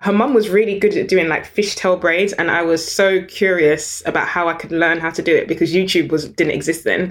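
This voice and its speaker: A woman with a British accent, fairly low in pitch, at a fairly quick pace with ordinary pitch variation. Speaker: business founder and CEO. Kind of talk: interview conversation.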